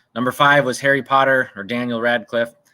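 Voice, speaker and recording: In a very clean recording with a silent background, a man speaks at a moderate pace in a Minnesotan accent, his medium-pitched voice bright and sharp in tone, with fairly even intonation. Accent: Minnesota. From US Midwest, Minnesota (Osseo, near Minneapolis). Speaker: trivia quiz host. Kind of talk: live-stream trivia quiz. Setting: outdoors on home patio, live stream.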